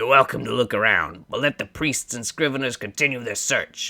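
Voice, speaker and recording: A man does a put-on character voice. It is raspy and medium in pitch. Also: moderate pace. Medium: solo performance. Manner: haughty, curt.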